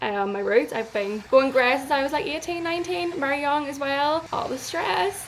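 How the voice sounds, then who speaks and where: Over noticeable background noise, a woman with a high pitch and a Northern Irish accent speaks at a moderate pace with lively intonation and hardly any pauses. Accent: Northern Irish, noted pronunciation of hair. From Northern Ireland, near Belfast. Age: 20s. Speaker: travel vlogger. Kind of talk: casual vlog talk to camera. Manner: chatty, filler-heavy.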